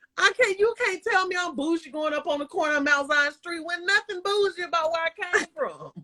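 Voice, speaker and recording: An extremely high-pitched woman's raised, projected voice in a slight Southern US accent, animated in tone and lively in intonation, at a fairly quick pace, with a dry, close sound and no echo. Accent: slight Southern twang. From US South, Bremen, Georgia. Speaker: live stream host. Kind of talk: casual chat. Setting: Instagram live stream.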